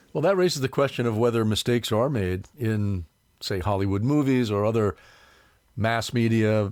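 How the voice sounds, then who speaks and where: This very clean recording has a silent background. A man with an unremarkable speaking voice and medium pitch talks at a moderate pace with ordinary pitch variation. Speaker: reporter. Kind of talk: podcast interview.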